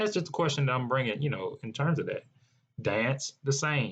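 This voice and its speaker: Somewhat breathy, a man speaks in an American accent with ordinary pitch variation. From US South (North Carolina, New Orleans). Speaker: podcast host. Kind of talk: solo podcast rant. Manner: conversational, with frequent fillers and repetitions.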